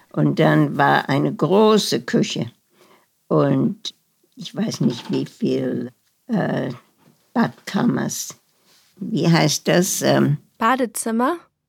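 Pausing long and often, a woman talks at a very slow pace. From Germany, Berlin. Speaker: Holocaust survivor. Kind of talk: interview testimony. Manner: halting, searching for German words.

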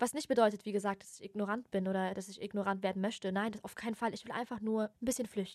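A woman's medium-pitched voice at a very fast pace with hardly any pauses. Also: big swings in loudness. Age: 20s. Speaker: podcast host. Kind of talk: casual monologue. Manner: animated.

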